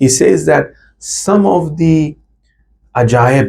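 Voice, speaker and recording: A man's dark, mellow voice with vocal fry and ordinary pitch variation. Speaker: Shia cleric giving a religious lecture. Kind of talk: religious lecture.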